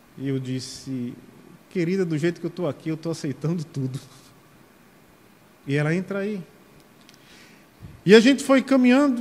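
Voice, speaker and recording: With a Paraíba accent, a man speaks at a high pitch and a moderate pace. His pitch swings very widely, and he takes long, frequent pauses. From Sapé, Paraíba, Brazil. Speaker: deacon preacher. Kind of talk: sermon.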